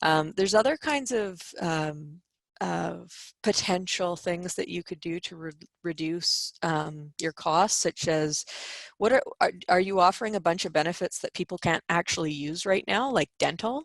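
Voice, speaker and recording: A woman with a Canadian accent speaks in a plain, everyday voice at a fairly low pitch with ordinary pitch variation. The sound is dry and close with no echo. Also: moderate pace. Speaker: employment lawyer. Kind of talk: webinar presentation.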